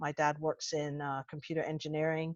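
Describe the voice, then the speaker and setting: A woman with an American accent has a very deep, low voice. The sound is dry and close with no echo, against a quiet background. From United States. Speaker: intelligence analyst. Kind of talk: webinar self-introduction. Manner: animated.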